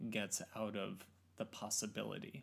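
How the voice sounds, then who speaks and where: Speaking with an American accent, a man keeps a moderate pace. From Oregon. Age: 30s. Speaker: photo lab worker. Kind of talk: casual chat. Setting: living room.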